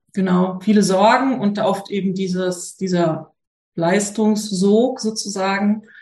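A woman speaks at a very slow pace, somewhat breathy. Her intonation stays fairly even. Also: medium pitch for a woman. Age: 30s. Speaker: mother asking a parenting question. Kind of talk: casual chat. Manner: hesitant, many fillers.

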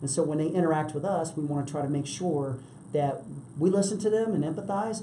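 Recorded with audible room echo and noticeable background noise, a man with an American accent speaks fairly quickly in a fairly high voice with ordinary pitch variation. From US East Coast, DC/Virginia area. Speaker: real estate professional. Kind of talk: interview.

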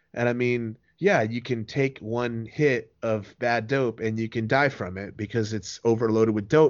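A man speaks with a medium pitch, keeping a moderate pace. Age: 30s. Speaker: former drug user interviewed about the dark web. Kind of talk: interview. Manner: halting, repeats words.

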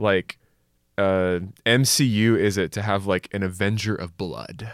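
A man with a plain, everyday voice, pitched fairly low, talks at a fairly slow pace. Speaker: young adults pastor and adjunct lecturer. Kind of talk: casual Bible study discussion.

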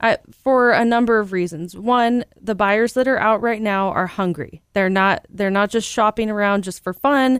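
A woman with an American accent and a fairly high voice talks at a moderate pace with hardly any pauses and ordinary pitch variation, in a normal speaking voice, on a very clean recording with a silent background and a dry, close sound with no echo. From Central California. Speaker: real estate broker. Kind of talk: casual chat.

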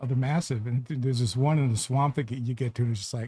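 Speaking very fast, a man with a dark, mellow, somewhat breathy voice at medium pitch is heard on a very clean recording with a silent background. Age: 70s. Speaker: podcast co-host. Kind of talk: casual chat.

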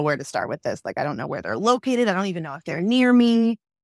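Speaking at a very fast pace with lively intonation and a New York accent, this voice comes through a very clean recording with a silent background and a dry, close sound with no echo. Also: woman. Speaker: app founder and mother. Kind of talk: casual interview.

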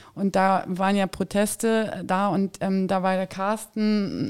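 A woman talks at a medium pitch in a monotone, flat way. The recording is very clean, with a silent background. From Saxony-Anhalt, eastern Germany. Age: 40s. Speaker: party board member. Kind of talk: interview.

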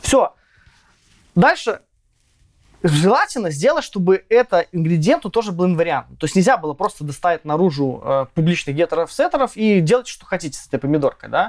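Fairly quick yet broken by long, frequent pauses, a man's high-pitched voice has lively intonation and big swings in loudness, with a dry, close sound and no echo. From Belarus, village near Minsk. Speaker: software tech lead. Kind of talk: casual technical interview. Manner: casual, slangy.

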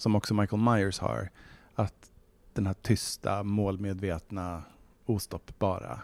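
A man's normal speaking voice with a fairly low pitch at a fairly slow pace, on a very clean recording with a silent background. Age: 40s. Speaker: novelist. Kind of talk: casual interview.

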